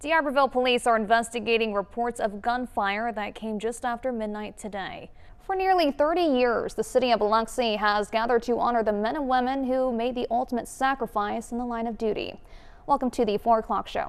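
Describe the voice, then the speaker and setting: Here is a woman with an ordinary speaking voice and a fairly high pitch. She talks at a fairly quick pace with ordinary pitch variation. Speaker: TV news anchor. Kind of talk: TV news anchor read.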